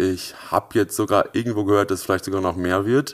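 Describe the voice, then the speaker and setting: A man with a plain, everyday voice and a fairly low pitch shows ordinary pitch variation on a very clean recording with a silent background. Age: 20s. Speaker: startup founder. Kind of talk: interview.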